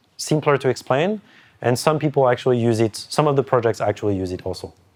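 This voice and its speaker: A man talks at a very fast pace in a French accent. His intonation is lively. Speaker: cryptography lecturer. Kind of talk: whiteboard lecture. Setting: in-person session with group. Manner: halting, many restarts.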